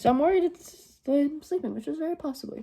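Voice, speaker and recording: A woman's dark, mellow, somewhat breathy voice at a moderate pace, with very wide pitch swings, on a very clean recording against a silent background. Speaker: beauty vlogger. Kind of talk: tutorial.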